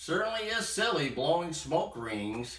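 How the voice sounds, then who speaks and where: A man's put-on character voice, high-pitched with very wide pitch swings, at a moderate pace with slight echo. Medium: read story.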